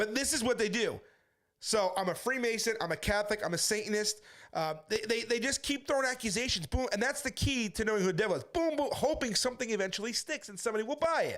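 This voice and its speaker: In a New Jersey accent, a man with an extremely high pitch speaks very fast in an animated tone with ordinary pitch variation, on a very clean recording with a silent background. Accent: New Jersey American. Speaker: street preacher. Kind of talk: monologue video addressing accusations.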